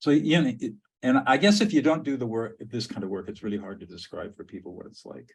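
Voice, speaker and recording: A man races along at a very fast pace at a medium pitch, somewhat breathy, with big swings in loudness and very wide pitch swings. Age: 70s. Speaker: podcast host and mediator. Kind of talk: casual chat.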